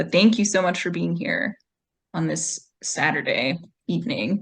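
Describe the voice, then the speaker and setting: A woman speaks at medium pitch. Her voice carries vocal fry. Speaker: co-host of a poetry reading series. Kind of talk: casual hosting talk to an online audience. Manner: relaxed, conversational.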